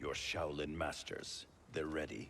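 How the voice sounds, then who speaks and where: Putting on a character voice, a man speaks raspy and very deep at a fairly slow pace, with clear background noise. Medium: video game. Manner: stern, clipped.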